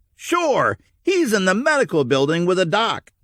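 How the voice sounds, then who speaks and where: A man's put-on character voice, high-pitched with very wide pitch swings, at a moderate pace, on a very clean recording with a silent background. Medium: read story. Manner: blunt, casual.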